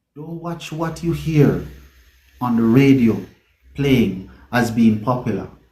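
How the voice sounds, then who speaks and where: A man with a Jamaican accent speaks very slowly in a dark, mellow, somewhat breathy tone, his pitch moving in an ordinary way. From Mandeville, Jamaica. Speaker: reggae singer. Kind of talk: interview answer.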